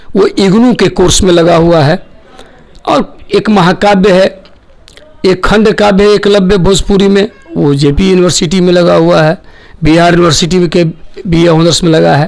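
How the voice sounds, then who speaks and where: This man has a Bihari accent and a high pitch, with fairly even intonation and very even loudness against noticeable background noise. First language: Bhojpuri (speaking Hindi). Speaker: poet and lyricist. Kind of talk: interview.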